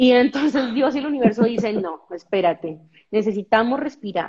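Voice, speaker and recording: At a moderate pace, a woman with a fairly high, somewhat breathy voice speaks in an animated tone with lively intonation. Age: 30s. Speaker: skating instructor and presenter. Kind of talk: podcast interview.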